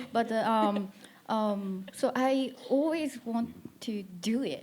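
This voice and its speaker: In a Japanese accent, a woman speaks at a very slow pace. Her pitch is fairly high, with ordinary pitch variation. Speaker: musician and producer. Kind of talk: panel discussion. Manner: halting.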